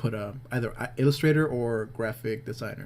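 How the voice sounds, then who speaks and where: A man's medium-pitched, somewhat breathy voice with fairly even intonation. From Peru (Lima). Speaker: illustrator and graphic designer. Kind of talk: narrated drawing tutorial. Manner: hesitant, many fillers; casual, rambling.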